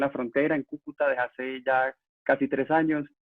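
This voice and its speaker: At a fairly quick pace, a man talks in monotone, flat intonation at medium pitch. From Venezuela, Valencia. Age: 20s. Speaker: youth activist. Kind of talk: interview.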